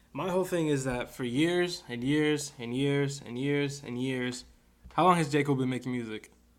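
A man talks in a normal speaking voice at a fairly high pitch. His pace is moderate and his intonation fairly even. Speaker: podcast co-host. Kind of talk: casual banter.

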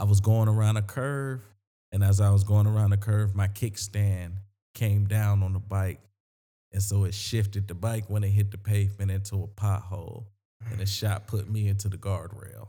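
In a South Carolina accent, a man speaks at a moderate pace with a fairly low pitch, a dark, mellow, somewhat breathy tone and monotone, flat intonation. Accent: Southern US (South Carolina). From US South, Sumter, South Carolina. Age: 30s. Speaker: comedian. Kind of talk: casual chat.

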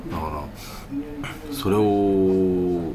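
With audible room echo and noticeable background noise, a man talks at a very deep, low pitch. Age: middle-aged. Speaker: podcast host. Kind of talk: casual chat.

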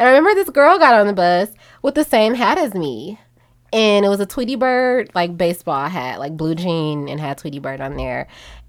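Fairly quick, animated delivery with very wide pitch swings and big swings in loudness, on a very clean recording against a silent background. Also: woman, medium pitch for a woman. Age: 20s. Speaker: podcast host. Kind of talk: casual chat. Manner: animated, frequent laughter.

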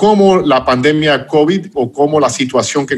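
Noticeable background noise sits behind a man talking at a moderate pace with ordinary pitch variation. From United States. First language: English (speaking Spanish). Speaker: podcast host. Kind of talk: interview.

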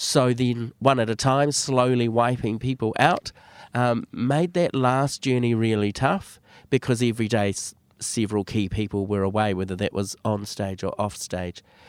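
In a very clean recording with a silent background, a man speaks with a New Zealand accent. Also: medium pitch for a man, ordinary pitch variation, moderate pace. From New Zealand, West Auckland. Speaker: drama teacher and theatre director. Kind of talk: casual interview.

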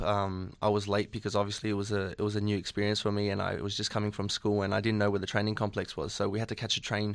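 A fairly low-pitched man with an Australian accent at a very fast pace, on a very clean recording with a silent background. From Australia, Sydney. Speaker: professional footballer. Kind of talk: radio interview.

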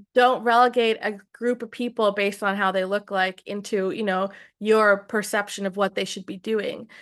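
A woman with an unremarkable speaking voice, medium pitch and fairly even intonation, at a moderate pace against a quiet background. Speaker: singer-songwriter. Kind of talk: casual interview chat. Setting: video call.

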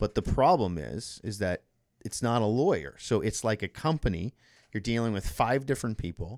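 Vocal fry runs through a man's fairly low voice. The recording is very clean and silent in the background, with a dry, close sound and no echo. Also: lively intonation, moderate pace. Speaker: mortgage broker. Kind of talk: casual interview. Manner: radio voice.

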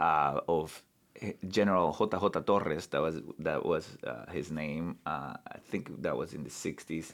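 This man's pitch is very deep and low, with vocal fry. He talks at a fairly slow pace. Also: ordinary pitch variation. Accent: Spanish. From Bolivia. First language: Spanish. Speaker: human rights lawyer and law professor. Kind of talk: casual interview conversation. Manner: halting, many fillers and repetitions.

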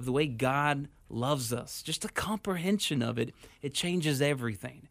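A man with an American accent and an unremarkable speaking voice talks at a fairly high pitch and moderate pace. His intonation is lively, on a very clean recording with a silent background. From Houston, Texas. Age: 30s. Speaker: pastor. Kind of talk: radio interview. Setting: studio.

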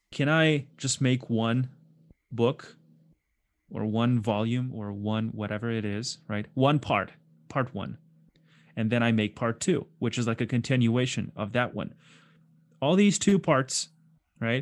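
The speaker has a non-native accent and a fairly slow pace. Long pauses come often. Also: man, medium pitch for a man, ordinary pitch variation, very clean recording, silent background. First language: not English. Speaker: concept artist. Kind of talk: casual chat. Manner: animated.

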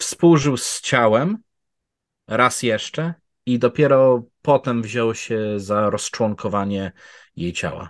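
A medium-pitched man speaks at a very slow pace. The sound is dry and close with no echo, and the background is quiet. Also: ordinary pitch variation. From Poland. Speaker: true crime researcher. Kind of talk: storytelling conversation. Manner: fluent.

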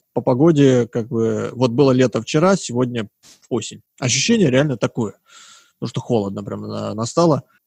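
A man's normal speaking voice at medium pitch, with ordinary pitch variation and a moderate pace, the sound dry and close with no echo against a quiet background. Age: 20s. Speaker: podcast host. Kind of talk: casual chat.

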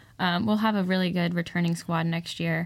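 A woman with an American accent uses an ordinary speaking voice, fairly low in pitch and fairly quick, with fairly even intonation, in a very clean recording with a silent background. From Southern California (Santa Clarita). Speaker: college softball club president. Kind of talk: casual interview chat.

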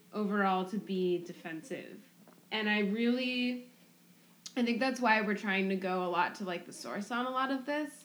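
A woman with an ordinary speaking voice talks at a moderate pace. Her pitch is fairly high, and her loudness swings widely. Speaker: podcast co-host. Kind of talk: casual chat.

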